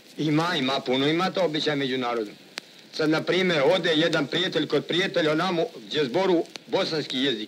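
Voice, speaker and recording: Using a normal speaking voice, a man talks at a fairly quick pace with a fairly high pitch and ordinary pitch variation. His loudness is very even, with light background noise. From Sandžak, Serbia (village Glogovik near Novi Pazar); Serbia. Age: 30s. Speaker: café owner and gusle singer. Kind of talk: interview. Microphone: old recording.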